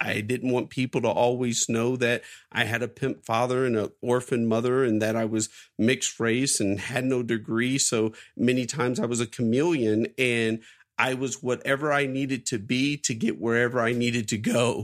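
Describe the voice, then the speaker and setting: An American-accented man at a medium pitch and moderate pace, loudness very even, on a very clean recording with a silent background. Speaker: entrepreneur, CEO of a publishing company. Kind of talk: interview. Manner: animated.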